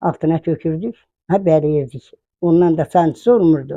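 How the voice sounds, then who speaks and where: A woman's dark, mellow tone at a fairly low pitch, in a dry, close sound with no echo. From Kars, eastern Turkey. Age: 80s+. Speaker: village grandmother. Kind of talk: interview.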